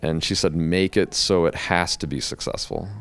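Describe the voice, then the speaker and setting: This man has a very deep, low pitch, an American accent, and vocal fry. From Chicago area, US (Calumet City, Illinois). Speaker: hairdresser and public speaking coach. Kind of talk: casual interview chat.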